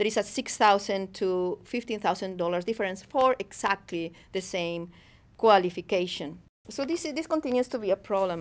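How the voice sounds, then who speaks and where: A strong Spanish accent at a moderate pace with ordinary pitch variation, in a very clean recording with a silent background. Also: woman. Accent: thick Spanish. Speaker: professor. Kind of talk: academic lecture. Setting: studio. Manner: hesitant, unscripted.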